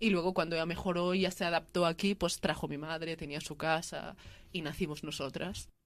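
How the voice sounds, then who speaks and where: Fairly quick and monotone, a woman talks in a flat, fairly low voice. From Catalonia, Spain (Lleida). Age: 20s. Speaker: interviewee sharing migrant family story. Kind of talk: testimony.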